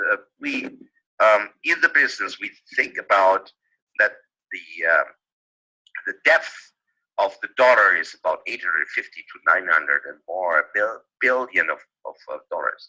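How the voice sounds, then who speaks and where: Speaking with a non-native accent at a moderate pace, a man takes long, frequent pauses and swings widely in loudness, in a dry, close sound with no echo. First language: not English. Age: 50s. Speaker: webinar presenter. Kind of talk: live webinar talk. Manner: halting, many fillers.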